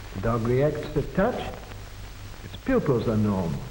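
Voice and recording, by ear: At a fairly slow pace, a man speaks with a medium pitch and very wide pitch swings. Audible room echo fills the recording.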